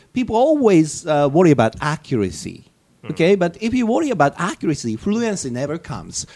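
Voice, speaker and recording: A man with a Japanese accent talks at a fairly quick pace, high-pitched with a dark, mellow tone and very wide pitch swings. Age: 50s. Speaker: English teacher. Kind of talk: casual talk. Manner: hesitant with fillers.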